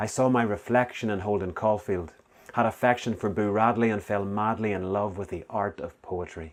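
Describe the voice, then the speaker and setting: In a very clean recording with a silent background, a man with a Northern Irish accent talks at a moderate pace, his fairly low pitch held to fairly even intonation. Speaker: spoken word poet. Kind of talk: spoken word poetry performance.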